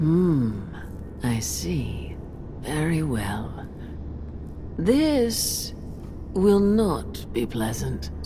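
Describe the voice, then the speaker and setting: A put-on character voice at a very slow pace, broken by long, frequent pauses, over loud background noise. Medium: machinima. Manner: slow, solemn.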